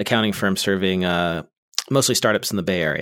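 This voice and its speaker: Here a man with an American accent uses an ordinary speaking voice at a moderate pace and with fairly even intonation, on a very clean recording with a silent background. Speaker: podcast host. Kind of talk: casual chat.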